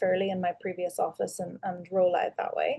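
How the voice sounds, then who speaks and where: Talking at a very fast pace, a woman with an Irish accent uses a medium pitch. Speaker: dentist and practice owner. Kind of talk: webinar panel discussion. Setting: video call.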